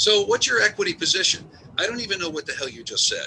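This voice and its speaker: A man rattles along at a very fast pace while noticeable background noise fills the clip. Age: 60s. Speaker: webinar attendee, business owner. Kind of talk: casual chat. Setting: office during a snowstorm. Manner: halting.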